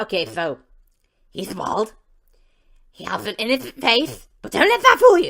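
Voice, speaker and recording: A female-sounding, cartoonish character voice moves at a moderate pace, broken by long, frequent pauses. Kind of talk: comic cartoon impression. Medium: read story. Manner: nervous, panicky.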